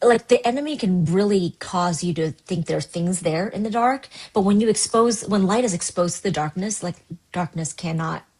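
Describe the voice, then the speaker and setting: At a moderate pace, a woman with a medium pitch speaks in a somewhat breathy voice with lively intonation. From US West Coast, Seattle, Washington. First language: Cantonese. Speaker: pastor. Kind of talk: podcast interview.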